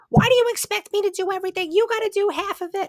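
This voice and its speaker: In a put-on character voice, a woman shouts angrily at an extremely high pitch and a very fast pace, with ordinary pitch variation and a dry, close sound with no echo. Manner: angry, scolding.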